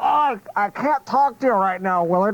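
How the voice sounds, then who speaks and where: Someone does a put-on character voice, strained and fairly high in pitch, at a moderate pace. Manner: strained, barely able to talk.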